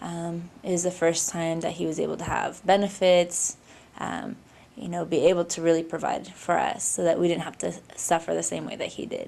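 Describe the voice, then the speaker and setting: A woman speaks with a Pacific Northwest accent. Her pace is moderate. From Seattle. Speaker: labor organizer. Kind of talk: oral history interview. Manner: hesitant, many fillers.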